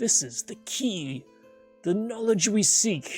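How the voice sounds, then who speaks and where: A shaky, put-on character voice comes through over faint background music. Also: female-sounding voice. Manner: excited, trembling.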